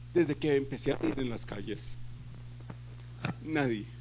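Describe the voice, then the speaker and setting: Audible room echo surrounds a man who speaks at a moderate pace with long, frequent pauses. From Colombia, Bogotá. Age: 60s. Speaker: pastor. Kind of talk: sermon.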